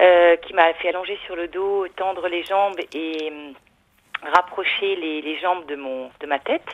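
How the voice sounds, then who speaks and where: Using an unremarkable speaking voice, a woman talks at a fairly slow pace with a fairly low pitch and fairly even intonation. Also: big swings in loudness. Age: 40s. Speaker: caller. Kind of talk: call-in testimony.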